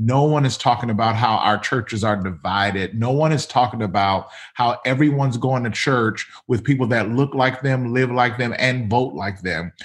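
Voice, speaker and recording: A man speaks in a normal speaking voice at a medium pitch and moderate pace, with ordinary pitch variation, on a very clean recording with a silent background. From US South, Mississippi. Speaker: pastor. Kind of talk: casual interview conversation.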